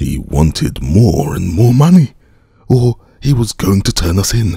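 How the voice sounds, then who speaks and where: Putting on a character voice, a man talks at a moderate pace with very wide pitch swings. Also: fairly low pitch for a man. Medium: read story. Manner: rough, snapping.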